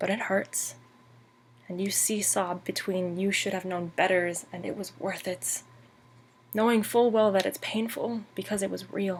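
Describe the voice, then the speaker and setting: Intonation holds fairly even throughout. There is a somewhat breathy quality to the voice. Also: woman. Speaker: poet. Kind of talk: poetry reading.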